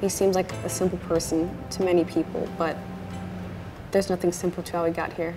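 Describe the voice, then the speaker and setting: A woman speaks at a moderate pace in a fairly low pitch, her intonation flat and monotone. Music plays clearly in the background. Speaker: author, daughter of the trainer. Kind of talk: documentary narration. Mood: reflective, admiring, soft. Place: gym.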